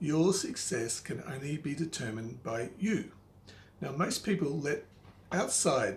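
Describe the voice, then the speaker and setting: Somewhat breathy, a man with a fairly high pitch speaks at a fairly slow pace with lively intonation. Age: 50s. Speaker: money and life advice presenter. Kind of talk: advice talk to camera.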